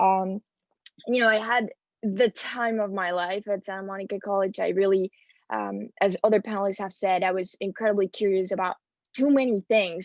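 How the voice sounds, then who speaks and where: A woman with a Spanish accent speaks at a fairly quick pace and medium pitch, with fairly even intonation, in a dry, close sound with no echo and a quiet background. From Spain. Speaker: transfer student panelist. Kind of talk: panel talk.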